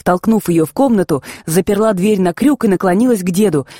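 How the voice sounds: The reader uses a natural reading voice, and the pitch moves with ordinary variation.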